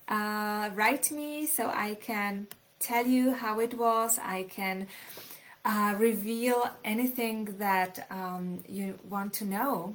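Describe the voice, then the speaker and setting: A woman with a Czech accent and ordinary pitch variation. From Czech Republic, small city near Polish border. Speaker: author. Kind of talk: live stream talk. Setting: live video stream.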